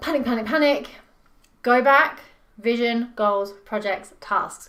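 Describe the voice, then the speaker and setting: The tone is bright and sharp. Audible room echo surrounds it. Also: woman, fairly high pitch for a woman, ordinary pitch variation. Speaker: business performance coach. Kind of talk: talking-head tutorial video. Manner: fast; animated, passionate.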